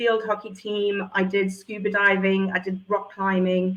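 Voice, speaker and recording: This woman has a medium-pitched voice with a South African accent. She talks at a fairly slow pace. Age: 40s. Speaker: entrepreneur and former drama teacher. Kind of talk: interview.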